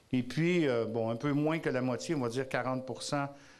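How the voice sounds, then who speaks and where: Audible room echo surrounds this man. His pitch is fairly high, with ordinary pitch variation. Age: 60s. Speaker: advocacy group president. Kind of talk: conference talk. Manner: loud.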